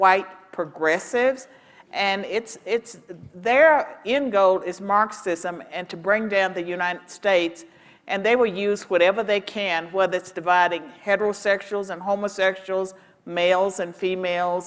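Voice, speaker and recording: A woman with an American accent in a normal speaking voice, medium pitch, ordinary pitch variation and a moderate pace. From rural Virginia. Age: 60s. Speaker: panelist, professor. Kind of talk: panel discussion. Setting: stage with audience.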